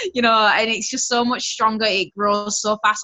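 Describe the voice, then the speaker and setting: With a West Yorkshire accent, a woman talks in a monotone with flat intonation. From West Yorkshire, England. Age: 20s. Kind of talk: personal testimony on a group call. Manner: casual, chatty.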